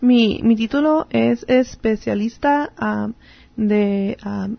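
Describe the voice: Her pitch fairly high and her voice showing vocal fry, a woman speaks slowly with ordinary pitch variation.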